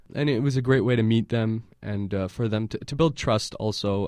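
With a plain, everyday voice and an American accent, a man of medium pitch speaks at a fairly quick pace with ordinary pitch variation against a quiet background. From San Francisco Bay Area, US. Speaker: filmmaker and activist. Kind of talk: interview. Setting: studio.

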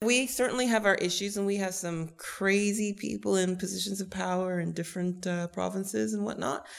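This woman talks at a fairly quick pace with hardly any pauses, in a Canadian accent and an unremarkable speaking voice. Her pitch sits at a medium level and her intonation is lively. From Canada (Toronto). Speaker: stage actor. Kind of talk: interview.

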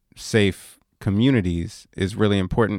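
The speech moves at a very slow pace, recorded dry and close with no echo, very clean with a silent background. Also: man. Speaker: radio host. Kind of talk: radio interview. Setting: radio studio.

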